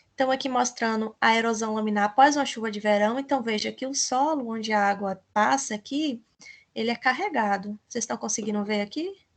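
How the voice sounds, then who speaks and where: Delivered with a Brazilian accent, the speech moves at a fairly quick pace with ordinary pitch variation. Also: woman, fairly high pitch for a woman. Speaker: teacher. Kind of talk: lecture.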